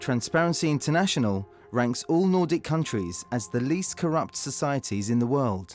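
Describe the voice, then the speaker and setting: Over music in the background, a man with a fairly high pitch talks at a moderate pace, his pitch swinging very widely at very even loudness. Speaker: voice-over artist. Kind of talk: corporate narration.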